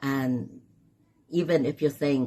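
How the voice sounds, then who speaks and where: This woman's pitch is very deep and low. A dark, mellow tone colors her voice. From Philippines, Mindanao. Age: 60s. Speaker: author. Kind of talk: book launch interview. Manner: halting, with repetitions.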